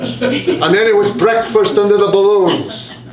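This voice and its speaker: Over noticeable background noise, a man speaks very slowly at a high pitch with very wide pitch swings. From Wales. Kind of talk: live story reading.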